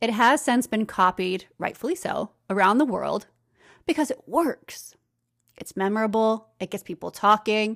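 A woman with an American accent speaks at a moderate pace in an upbeat, energetic tone, her fairly high pitch captured in a dry, close sound with no echo on a very clean recording with a silent background. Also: lively intonation. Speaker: podcast host and brand consultant. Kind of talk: solo educational podcast monologue.

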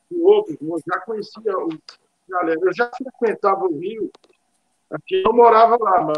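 At a moderate pace, a man talks with a high pitch. His pitch varies an ordinary amount. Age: 50s. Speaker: drummer. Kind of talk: casual chat. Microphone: choppy internet connection.

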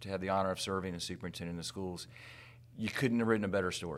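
A man with an American accent, a very deep, low pitch and flat, monotone intonation, captured in a very clean recording with a silent background. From US South, Tallahassee, Florida. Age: 50s. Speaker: school superintendent. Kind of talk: interview conversation.

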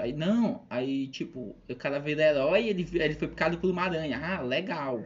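At a moderate pace, a man speaks with a Maranhão accent. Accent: Maranhão Brazilian Portuguese. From Brazil, São Luís, Maranhão. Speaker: math teacher and stand-up comedian. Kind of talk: casual chat.

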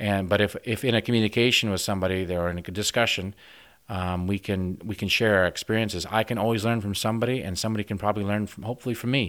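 In a very clean recording with a silent background, a man with a Midwestern American accent talks very fast at a fairly low pitch, keeping his intonation fairly even. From US Midwest, northwest Iowa. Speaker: organic farmer and veterinarian. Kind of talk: radio interview. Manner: halting, many repetitions.

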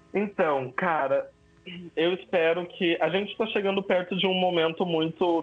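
Over music in the background, a man talks at a fairly slow pace with a high pitch. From southern Brazil, São Leopoldo (Rio Grande do Sul). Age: 20s. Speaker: actor and photographer. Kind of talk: casual interview chat.

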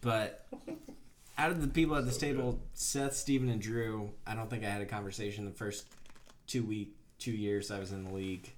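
With an American accent, the speaker uses a normal speaking voice, a fairly quick pace and ordinary pitch variation. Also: man, medium pitch for a man. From Bethlehem, Pennsylvania. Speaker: podcast co-host. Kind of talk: casual chat.

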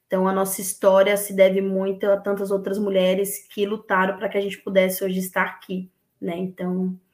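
Her intonation is monotone and flat. The woman speaks at a fairly quick pace. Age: 30s. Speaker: women's football collective organizer. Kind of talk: casual interview.

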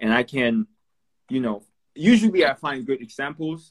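A man's lively intonation at a moderate pace. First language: not English. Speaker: Instagram live host. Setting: Instagram live video.

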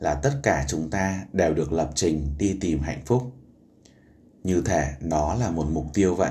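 In a room with audible echo, a man with a very deep, low pitch and a dark, mellow, somewhat breathy tone speaks at a fairly slow pace with lively intonation. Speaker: podcast host. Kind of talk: book summary narration.

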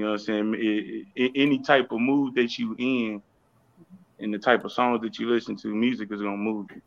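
A man with an American accent has an unremarkable speaking voice and a fairly low pitch. He keeps a moderate pace and a fairly even intonation. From Houston, Texas. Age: 30s. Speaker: rapper. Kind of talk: casual interview chat.

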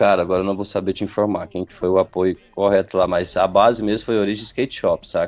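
A man's fairly low voice, very fast and monotone, with hardly any pauses. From Jataí, Goiás, Brazil. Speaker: rapper. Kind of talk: casual interview.

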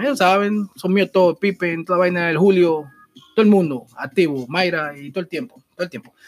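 A man with a high pitch speaks fairly quickly, his loudness swinging widely, in a dry, close sound with no echo. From Dominican Republic. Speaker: podcast host. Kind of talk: casual commentary. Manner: animated; halting.

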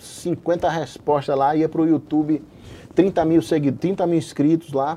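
A man with a normal speaking voice, fairly high in pitch, talks at a moderate pace. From Brazil, Paraíba. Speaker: anesthesiologist and online medical educator. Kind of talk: interview.

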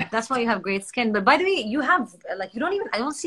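Very fast speech with an Arabic accent and lively intonation. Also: woman. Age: 30s. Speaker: social media host. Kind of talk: casual interview on a livestream.

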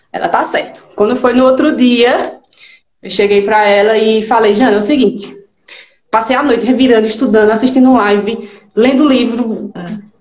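The voice keeps a fairly even intonation, and the room echo is audible. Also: woman, fairly high pitch for a woman, moderate pace. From Pernambuco, northeastern Brazil (Garanhuns). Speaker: digital strategist. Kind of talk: live interview.

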